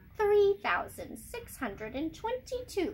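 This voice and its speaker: A woman's put-on character voice at an extremely high pitch, with clear background noise. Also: fairly slow pace. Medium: read story. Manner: cold, dismissive.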